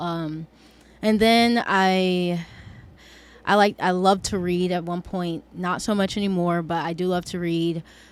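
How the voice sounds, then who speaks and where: A woman with an American accent speaks slowly in a fairly low, monotone, flat voice, in a very clean recording with a silent background. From US South, middle Georgia (Warner Robins). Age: 20s. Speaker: recent university graduate. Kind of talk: casual podcast interview.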